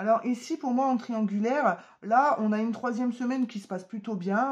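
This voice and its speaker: A somewhat breathy woman with a fairly high pitch talks at a fairly quick pace with lively intonation. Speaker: tarot card reader. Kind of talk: tarot reading to camera. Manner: hesitant with many fillers.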